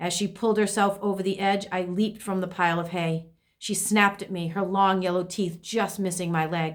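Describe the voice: Plain reading aloud, its intonation fairly even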